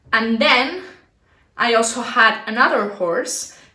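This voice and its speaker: A woman with a fairly high pitch speaks in a Spanish accent. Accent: non-native English, Spanish. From Barcelona, Spain. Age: 20s. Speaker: dressage rider. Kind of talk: casual talk to camera.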